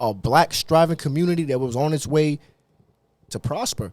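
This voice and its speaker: Fairly high-pitched yet dark and mellow in tone, a man with an American accent speaks at a fairly quick pace with ordinary pitch variation. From Dominican Republic. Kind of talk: casual chat.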